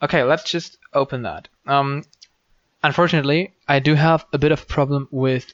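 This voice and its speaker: A man with a strong German accent. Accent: German accent, says it is strong. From Germany. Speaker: programming tutorial maker. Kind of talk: screen-recorded coding tutorial. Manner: hesitant, many ums and false starts; casual, unscripted.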